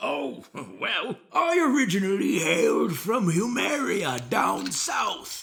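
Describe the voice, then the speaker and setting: Using a put-on character voice, a man speaks at a fairly slow pace in a high pitch. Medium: audio drama. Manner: folksy, chuckling.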